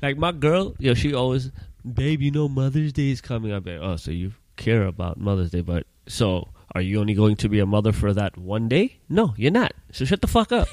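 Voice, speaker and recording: A man with a normal speaking voice talks at a fairly quick pace in a medium pitch. His intonation is lively, and the recording is very clean with a silent background. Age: 30s. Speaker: podcast co-host. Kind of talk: casual chat.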